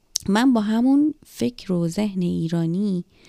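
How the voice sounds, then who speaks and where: A woman with a dark, mellow tone speaks at a medium pitch with ordinary pitch variation, the sound dry and close with no echo, in a very clean recording with a silent background. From Iran. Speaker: podcaster telling her life story. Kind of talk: personal storytelling monologue.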